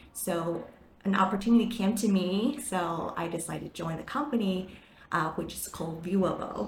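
Over noticeable background noise and audible room echo, a woman with a Chinese accent talks at a moderate pace and medium pitch, with ordinary pitch variation and big swings in loudness. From Taiwan. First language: Mandarin Chinese. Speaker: marketing manager. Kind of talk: interview. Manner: animated.

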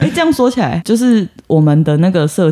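A man speaks with a dark, mellow tone at a moderate pace. His intonation is lively. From southern Taiwan. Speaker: podcast co-host. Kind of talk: casual chat.

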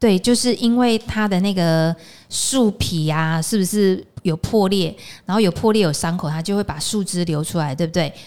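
A woman speaks with a Taiwanese accent at a moderate pace, her medium pitch showing ordinary variation. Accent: Taiwanese Mandarin. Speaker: podcast host, aromatherapy teacher. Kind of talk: casual interview chat. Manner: animated, laughing often.

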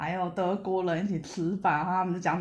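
Fairly quick delivery over a quiet background. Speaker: podcast guest, hiker. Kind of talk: casual chat. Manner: peculiar way of speaking.

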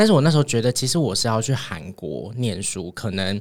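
The pace is very fast. A man is speaking at a medium pitch. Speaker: podcast co-producer. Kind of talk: casual chat.

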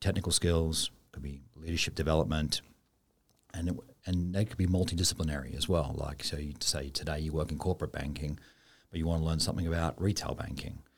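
The pace runs fairly quick. The somewhat breathy voice shows ordinary pitch variation. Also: man. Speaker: bank executive. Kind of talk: interview. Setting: studio.

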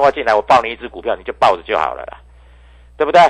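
Speaking very fast, a man is heard. The sound is dry and close, without any echo. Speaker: stock market analyst. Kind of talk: market commentary and sales pitch. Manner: animated.

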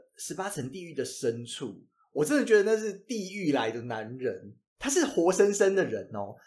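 In a Taiwanese accent, a man speaks at a moderate pace and a high pitch, with very wide pitch swings. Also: big swings in loudness. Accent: Taiwanese Mandarin. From Taiwan, Changhua. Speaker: podcast co-host. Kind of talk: casual chat. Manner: animated.

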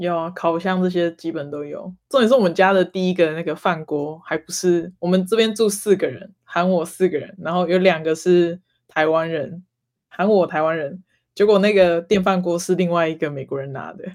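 The pace is moderate, and the recording is very clean with a silent background. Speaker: graduate student. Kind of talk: casual chat.

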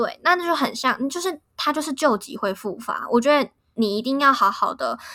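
Lively intonation and an animated, bright, sharp tone mark this woman's speech at a moderate pace. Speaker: podcast host. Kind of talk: casual chat.

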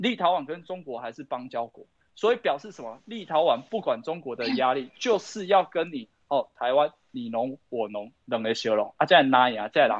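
Pitched fairly high, a man speaks at a moderate pace with very wide pitch swings and big swings in loudness. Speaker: local party chairman. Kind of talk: political talk show discussion. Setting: livestream. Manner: code-switching between Hokkien and Mandarin.

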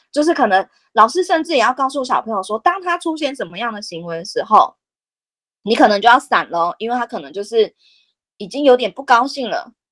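A woman speaks at a high pitch with very wide pitch swings and a fairly quick pace. The sound is dry and close, with no echo. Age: 30s. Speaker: special education teacher. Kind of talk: interview.

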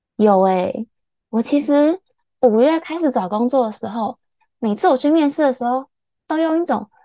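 The voice has a dark, mellow tone and lively intonation, with a dry, close sound and no echo. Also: woman. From Taiwan. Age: 20s. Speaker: podcast co-host, mechanical engineer. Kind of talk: casual chat.

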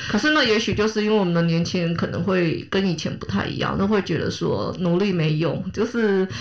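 The speech moves at a fairly quick pace with hardly any pauses and ordinary pitch variation. Noticeable background noise and audible room echo fill the recording. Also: woman, medium pitch for a woman. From Taiwan, Kaohsiung. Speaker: podcast host. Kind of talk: casual chat.

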